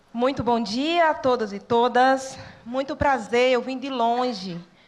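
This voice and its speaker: A woman's high-pitched voice, very slow in pace, with ordinary pitch variation. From Brazil, sertão of Pernambuco (Northeast). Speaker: social worker and church network educator. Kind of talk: talk to students.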